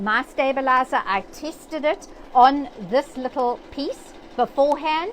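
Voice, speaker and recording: A woman with a South African accent speaks at a fairly slow pace. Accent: English-speaking South African. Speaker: sewing machine educator. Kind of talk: live-stream tutorial. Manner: hesitant with fillers.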